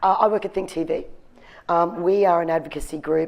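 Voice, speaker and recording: A woman speaks at a fairly quick pace with an Australian accent. Her intonation stays fairly even. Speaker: industry speaker at marketing conference. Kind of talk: conference presentation.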